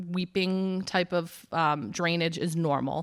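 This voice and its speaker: A woman's very deep, low voice in a dry, close sound with no echo, in a very clean recording with a silent background. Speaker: urgent care medical staff. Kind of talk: health talk to seniors group. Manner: many fillers (um).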